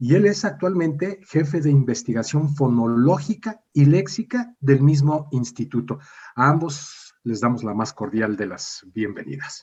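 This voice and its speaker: A man with a fairly high, somewhat breathy voice speaks at a fairly slow pace with lively intonation and hardly any pauses. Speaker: radio host. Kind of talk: radio interview.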